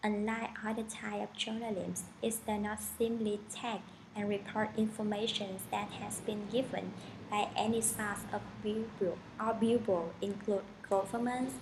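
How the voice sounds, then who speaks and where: A woman's fairly high voice with a strong non-native accent, slow-ish and monotone, in audible room echo. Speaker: student. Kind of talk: class presentation. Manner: formal.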